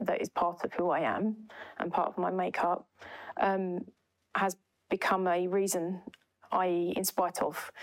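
A woman with an Essex accent, medium pitch and monotone, flat intonation, at a moderate pace, on a very clean recording with a silent background. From East London. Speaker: cloud transformation consultant. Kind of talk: podcast interview. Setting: in-person office recording.

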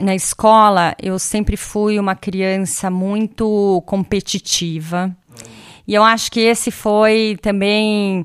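The woman uses an ordinary speaking voice at a medium pitch with fairly even intonation, on a very clean recording with a silent background. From Brazil. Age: 40s. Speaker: tech industry executive. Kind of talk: casual interview. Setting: recorded in her home.

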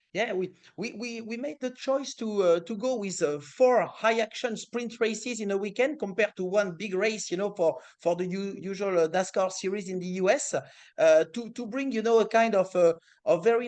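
Speaking in a French accent, a man talks at a high pitch with ordinary pitch variation. His pace is moderate and the background is quiet. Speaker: motorsport series executive. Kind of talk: interview. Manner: halting.

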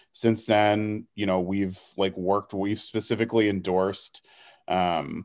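On a very clean recording with a silent background, a man with an American accent and an unremarkable speaking voice talks at a moderate pace, his fairly low pitch held in fairly even intonation. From Houston, Texas. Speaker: political organizer. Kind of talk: casual interview.

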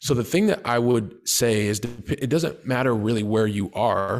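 With an American accent, a man speaks at a fairly slow pace and medium pitch, with ordinary pitch variation, on a very clean recording with a silent background. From US Midwest (Columbus, Ohio). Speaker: real estate investor. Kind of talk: interview.

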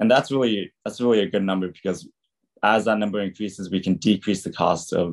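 A man with an American accent and a plain, everyday voice talks at a fairly quick pace, with a fairly low pitch and fairly even intonation. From California. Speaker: university student. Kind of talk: student presentation.

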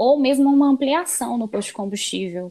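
A woman with a Minas Gerais accent speaks at a moderate pace with ordinary pitch variation. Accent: Brazilian Portuguese, mineiro. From Minas Gerais, Brazil (Belo Horizonte). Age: 20s. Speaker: environmental engineer. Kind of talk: casual interview.

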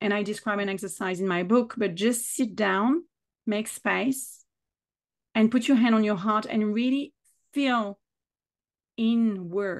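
A woman with a French accent, fairly high in pitch, at a moderate pace with ordinary pitch variation against a quiet background. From south of France. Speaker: business mentor and author. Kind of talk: casual interview conversation.

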